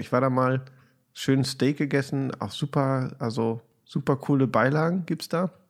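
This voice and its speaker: In a very clean recording with a silent background, a man with an unremarkable speaking voice talks at a moderate pace and medium pitch with ordinary pitch variation. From Germany, Hamburg. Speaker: podcast host. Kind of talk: casual chat.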